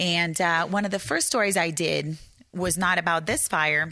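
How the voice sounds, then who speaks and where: A woman's fairly low voice has a bright, sharp tone and fairly even intonation, captured in a very clean recording with a silent background. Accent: Brazilian. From Brazil. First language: Portuguese. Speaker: journalist and author. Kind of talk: author talk. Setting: bookstore with live audience. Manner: halting, many fillers.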